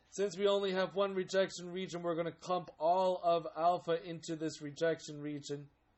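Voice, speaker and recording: A man's high voice at a moderate pace, in a monotone with flat intonation. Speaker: statistics instructor. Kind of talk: lecture.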